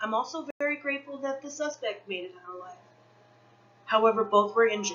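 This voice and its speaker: The speech moves at a very fast pace with lively intonation over noticeable background noise. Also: woman, fairly high pitch for a woman. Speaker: student presenting a class assignment. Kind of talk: class presentation.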